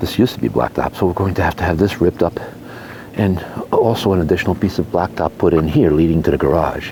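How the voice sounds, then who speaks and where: Over noticeable background noise, a soft-spoken man with a very deep, low pitch talks at a very fast pace with lively intonation and very even loudness. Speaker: homeowner vlogger. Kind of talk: casual walkthrough vlog. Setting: outdoors. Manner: hesitant, many fillers.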